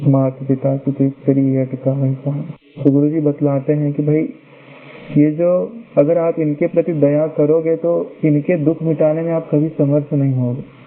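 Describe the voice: Moving at a fairly slow pace, a man speaks with a fairly high pitch and little pitch movement.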